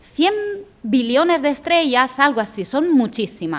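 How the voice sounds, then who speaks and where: A high-pitched woman's voice with lively intonation at a fairly slow pace. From outside Spain. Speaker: science lecturer. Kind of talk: lecture. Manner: halting.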